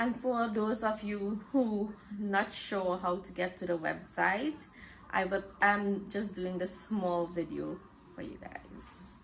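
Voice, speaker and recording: A woman speaks very slowly at a medium pitch, with ordinary pitch variation and noticeable background noise. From Trinidad, San Fernando. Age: 30s. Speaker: talk show host. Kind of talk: personal bio monologue.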